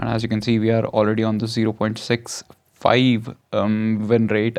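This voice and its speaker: A man speaks at a fairly quick pace with an Indian accent, his pitch medium. His intonation is flat and monotone against a quiet background. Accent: Indian English, noticeable. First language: not English. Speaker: gaming YouTuber. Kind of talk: gameplay commentary. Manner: halting, many fillers.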